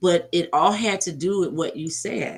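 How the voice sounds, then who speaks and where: A woman with an American accent and vocal fry. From US South, Georgia. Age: 60s. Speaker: motivational speaker and treatment center counselor. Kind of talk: interview testimony.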